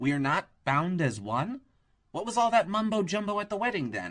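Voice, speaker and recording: A man does a put-on character voice, pitched high for a man and delivered at a medium tempo. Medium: read story.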